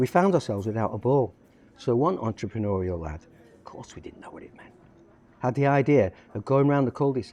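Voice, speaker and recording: A man with a Lancashire accent speaks at a fairly quick pace in a medium pitch with a dark, mellow tone. His pitch swings very widely, his loudness shifts in big swings, and long, frequent pauses break up his speech. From northern England, Lancashire (Blackpool, Lancaster). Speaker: poet and football fan. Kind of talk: reading aloud. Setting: cafe.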